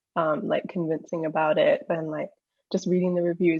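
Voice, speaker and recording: At a moderate pace, a woman talks with a New Zealand accent. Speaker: junior doctor, paediatric trainee. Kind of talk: casual interview chat.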